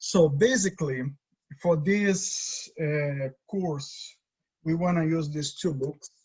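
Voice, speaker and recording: A man with a Brazilian accent talks at a very slow pace, his voice somewhat breathy. His pitch variation is ordinary. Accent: Brazilian Portuguese accent, noticeable. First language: Portuguese. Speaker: design teacher. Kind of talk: lecture. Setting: video call. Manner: halting.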